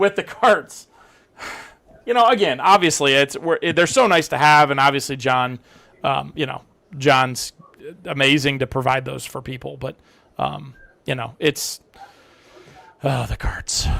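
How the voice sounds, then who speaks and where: Fairly slow speech with long, frequent pauses, a bright, sharp tone and vocal fry. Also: man, fairly high pitch for a man, ordinary pitch variation. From Ohio. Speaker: beekeeping event organizer. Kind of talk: casual chat. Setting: live stream.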